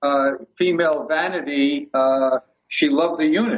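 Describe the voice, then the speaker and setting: Fairly high male speech showing ordinary pitch variation. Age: 70s. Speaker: detox device manufacturer. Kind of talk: interview. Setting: phone call.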